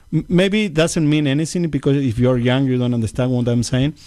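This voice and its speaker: In a Uruguayan accent, a man speaks at medium pitch with a dark, mellow tone and ordinary pitch variation. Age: 50s. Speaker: congressional candidate. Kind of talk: interview. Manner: halting.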